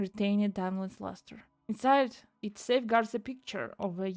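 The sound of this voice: The background is quiet. An unforced reading voice shows ordinary pitch variation.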